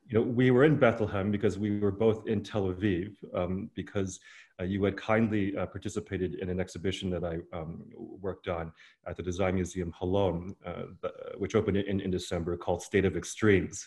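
A man talks with a fairly low pitch and fairly even intonation, somewhat breathy. The background is quiet. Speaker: curator hosting conversation. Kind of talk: interview host introduction. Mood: friendly, amused. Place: home room. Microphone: earbuds.

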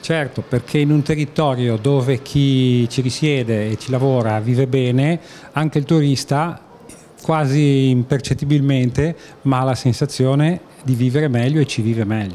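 At a fairly slow pace with few pauses, a man talks in a dark, mellow tone at medium pitch with ordinary pitch variation.

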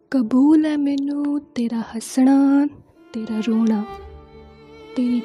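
Music plays behind a woman whose voice is high in pitch, with ordinary pitch variation. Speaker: voice-over artist. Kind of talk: poetry reading.

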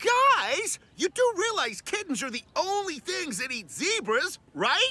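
A cartoonish character voice, extremely high in pitch, swings very widely up and down. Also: fairly slow pace. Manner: upbeat, encouraging, cocky.

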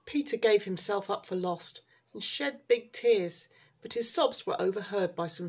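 At a medium pitch and moderate pace, a woman speaks with vocal fry. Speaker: storyteller reading aloud. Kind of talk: children's storybook audiobook reading. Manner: slightly halting, with small restarts.

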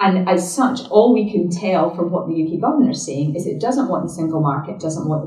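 At a fairly quick pace, a woman with a fairly low pitch speaks with lively intonation, over a quiet background with audible room echo. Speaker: politician. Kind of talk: public talk. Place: hall.

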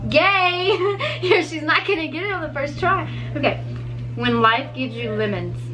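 Long, frequent pauses break up the speech, with light background noise behind it. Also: woman. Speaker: vlogger. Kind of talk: casual chat. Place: home room. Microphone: camera far.

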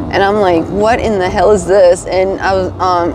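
A woman with an American accent speaks at medium pitch and fairly even intonation, in a dry sound with no echo over noticeable background noise. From Virginia. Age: 30s. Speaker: homeless person in recovery interview; interviewee. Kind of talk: interview. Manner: hesitant, many fillers. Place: street. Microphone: lapel.

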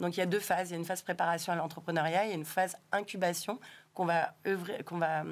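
A woman's fairly low voice at a very fast pace, in a monotone, flat intonation. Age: 40s. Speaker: tech association director; guest. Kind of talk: interview. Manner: hesitant, many fillers. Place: studio. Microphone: studio mic.

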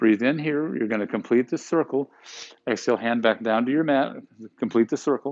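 Over a quiet background, a man speaks in a soothing, calm tone with ordinary pitch variation. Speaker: yoga instructor. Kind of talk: guided yoga class, calm cueing of poses and breath with brief reflective asides. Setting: live online broadcast to home viewers. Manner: soothing, calm and unhurried, giving short instructions in rhythm with breath; warm, conversational and encouraging, with playful words like yumminess. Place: gym.

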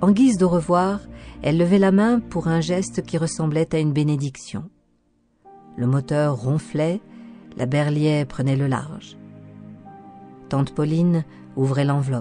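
With music in the background, the speech moves at a fairly slow pace with long, frequent pauses and ordinary pitch variation. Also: woman, very deep, low pitch for a woman. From France. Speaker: voice actor; audio guide and documentary narrator.

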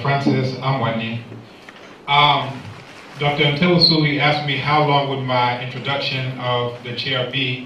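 A man's flat, monotone voice at a fairly slow pace, with audible room echo and light background noise. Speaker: seminar series moderator. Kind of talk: event moderation. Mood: light, humorous. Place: hall.

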